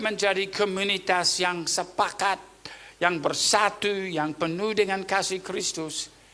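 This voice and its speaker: A man speaks very slowly in a raised, projected voice. His pitch is high, with noticeable background noise behind him. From Papua New Guinea. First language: Tok Pisin (speaking Indonesian). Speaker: pastor. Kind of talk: sermon.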